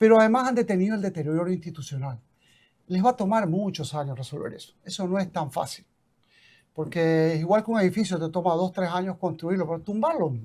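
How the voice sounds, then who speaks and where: In a very clean recording with a silent background, a man talks in a high voice with ordinary pitch variation. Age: 70s. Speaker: former football club president. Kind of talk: interview.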